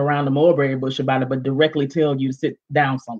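The woman's voice has a slightly mellow tone.

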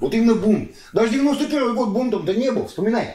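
Audible room echo around a male speaker. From Astrakhan, Russia; Russia. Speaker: entrepreneur; interviewee. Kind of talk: interview answer; interview answer, animated conversation. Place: home room. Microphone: camera far.

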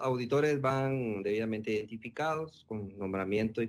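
The man talks at a moderate pace. His pitch varies in an ordinary way. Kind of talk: interview answer. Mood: calm, formal, explanatory. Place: office. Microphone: video call.

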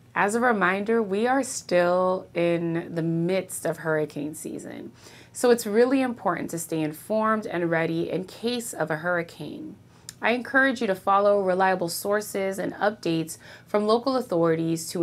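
With ordinary pitch variation, the delivery keeps a moderate pace. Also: woman. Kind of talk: news recap to camera. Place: office. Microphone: lapel.

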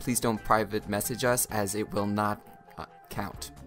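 Music plays behind speech delivered fairly slowly. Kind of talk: casting call announcement read, bloopers. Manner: joking, teasing.

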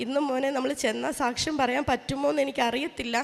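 Noticeable background noise sits behind a woman speaking. Her high voice stays monotone, with flat intonation. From Kerala, Changanassery. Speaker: state government employee and athlete giving testimony. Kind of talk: religious testimony. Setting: shrine with audience of devotees.

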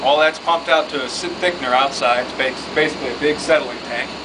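Over loud background noise, the speaker talks at a very fast pace. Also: man. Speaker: mine plant guide. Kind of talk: tour explanation. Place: factory. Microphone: camera far.

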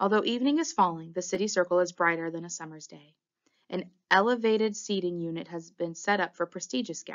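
A natural voice reading aloud, its pitch moving in an ordinary way, with a quiet backdrop

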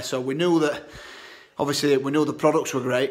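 Over faint background music, a man speaks in a flat monotone. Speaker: social media seller. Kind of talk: casual vlog chat. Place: home room. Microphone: phone near.

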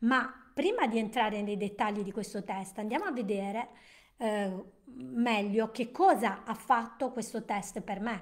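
A woman speaks at a fairly slow pace with a fairly high pitch. Her pitch varies in an ordinary way, and the background is quiet. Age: 60s. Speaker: nutrition and wellness educator; wellness educator. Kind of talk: live-stream presentation. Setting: live stream. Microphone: webcam.

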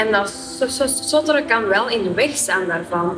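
Clear music plays behind a woman speaking at a moderate pace in a fairly high pitch. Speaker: marketeer. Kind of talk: interview answer. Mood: calm, reflective, gesturing. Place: studio. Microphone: lapel.

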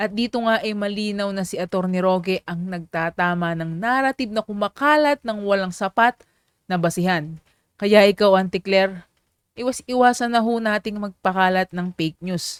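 Recorded very cleanly against a silent background, a woman speaks at a moderate pace in a plain, everyday voice, medium in pitch, with a dry, close sound and no echo. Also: ordinary pitch variation. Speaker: political commentary channel host. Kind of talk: video commentary narration. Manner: formal.

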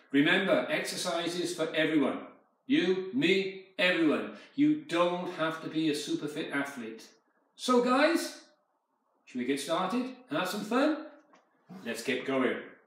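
A man talks at a fairly slow pace, leaving long, frequent pauses, with audible room echo around him. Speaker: fitness instructor. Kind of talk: exercise class instruction. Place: home room.

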